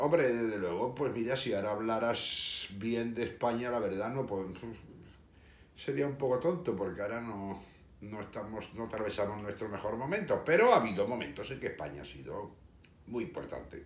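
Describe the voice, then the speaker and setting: With a slight Andalusian accent, a man talks at a moderate pace and a medium pitch. His intonation is lively, and the room echo is audible. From Seville, Spain. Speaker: history video host. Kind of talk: casual monologue. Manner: hesitant, many fillers.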